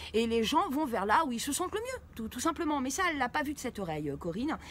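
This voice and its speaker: A woman's high-pitched voice with very wide pitch swings at a fairly quick pace, over noticeable background noise. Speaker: YouTube commentator on occult scams. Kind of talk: commentary video. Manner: fast; halting, many fillers.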